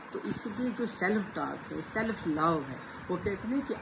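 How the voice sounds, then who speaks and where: This woman's voice sits at a medium pitch with ordinary variation. Noticeable background noise runs underneath. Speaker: self-help vlogger. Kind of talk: motivational talk to camera.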